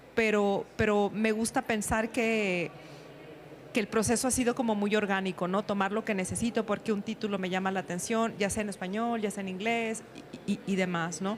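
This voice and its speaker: A woman talks at a moderate pace and medium pitch with fairly even intonation. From northern Mexico, Sonora. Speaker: writer and teacher. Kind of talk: panel discussion. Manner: halting.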